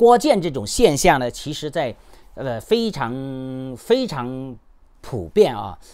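Against a quiet background, a man talks at a very slow pace with long, frequent pauses and a fairly high pitch. His pitch swings very widely and his loudness shifts a lot. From China, Henan. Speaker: YouTuber and human rights activist; YouTuber. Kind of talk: commentary monologue. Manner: halting, many fillers. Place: home room. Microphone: phone near.

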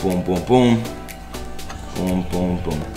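Clear music plays in the background as the voice moves at a fairly slow pace with ordinary pitch variation. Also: man. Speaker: food vlogger. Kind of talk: casual vlog chat. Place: kitchen. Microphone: camera far.

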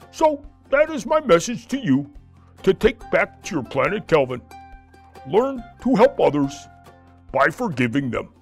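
Long, frequent pauses break up a man's cartoonish, high-pitched character voice, with faint music in the background. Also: moderate pace. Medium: puppet.

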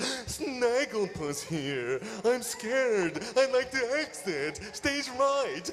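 A man's put-on character voice at an extremely high pitch and very slow pace, over clear background noise

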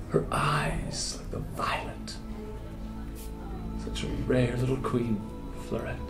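With clear music in the background, a man speaks at a very slow pace, leaving long, frequent pauses. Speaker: actor. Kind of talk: dramatic poetry reading. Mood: wistful, tender. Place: home room. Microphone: lapel.

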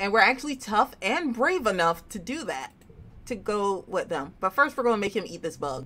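The reading voice is natural, with lively intonation.

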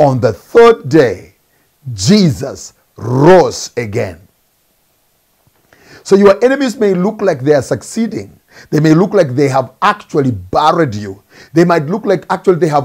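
A man with vocal fry talks at a fairly slow pace, his pitch swinging very widely. He leaves long, frequent pauses. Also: quiet background. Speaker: preacher. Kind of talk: sermon. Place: office. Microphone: lapel.

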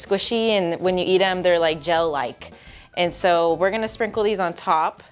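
A woman speaks as faint music plays in the background. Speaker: cooking show co-host. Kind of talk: tutorial. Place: studio.

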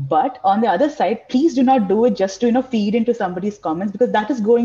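Speaking at a very fast pace, a woman with a dark, mellow tone sounds somewhat breathy and uses lively intonation. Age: 30s. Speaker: panel guest; guest. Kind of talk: personal testimony. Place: home room. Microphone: video call.

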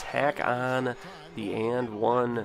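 Music plays in the background. A man speaks at a medium pitch with monotone, flat intonation. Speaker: gaming YouTuber. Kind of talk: gameplay commentary. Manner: casual play-by-play narration.

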